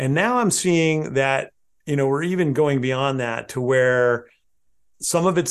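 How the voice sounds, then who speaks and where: A man at medium pitch with a West Coast US accent and ordinary pitch variation, against a quiet background. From southern Oregon, US. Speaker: landscape photographer and photo educator. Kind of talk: interview conversation.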